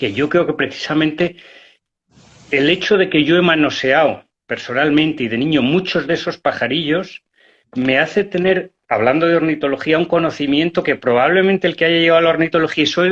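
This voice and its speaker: A man speaks at a fairly high pitch with ordinary pitch variation and very even loudness. The background is quiet. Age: 60s. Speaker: hunter and conservationist. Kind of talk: interview. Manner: halting.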